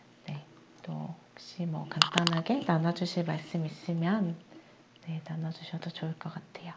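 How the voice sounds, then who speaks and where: Calm in tone, a woman talks very slowly in a flat monotone at a fairly low pitch, with noticeable background noise. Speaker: meditation instructor. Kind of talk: meditation class wrap-up, group sharing. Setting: video call. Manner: calm, sleep-inducing.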